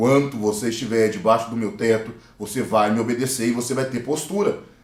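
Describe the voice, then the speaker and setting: Audible room echo is present. A man is talking. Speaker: talk show host. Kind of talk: panel discussion.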